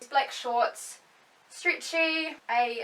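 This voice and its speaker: Ordinary pitch variation amid noticeable background noise. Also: woman. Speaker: beauty vlogger. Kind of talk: casual vlog.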